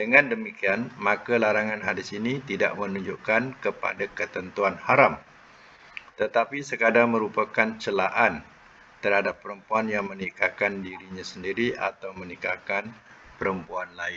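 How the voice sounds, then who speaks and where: Light background noise sits behind a man with a plain, everyday voice. He talks at a fairly slow pace and a fairly low pitch, with fairly even intonation. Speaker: religious teacher. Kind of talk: lecture. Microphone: video call.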